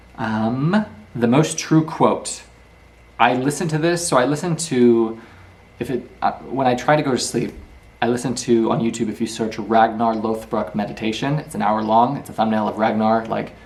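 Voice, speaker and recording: Amid audible room echo, a man speaks at a medium pitch with ordinary pitch variation. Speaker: YouTuber teaching book lessons. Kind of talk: lecture. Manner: fast.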